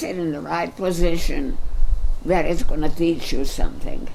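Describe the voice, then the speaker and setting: Vocal fry runs through a woman's voice as she speaks with lively intonation. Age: 80s+. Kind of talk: interview answer.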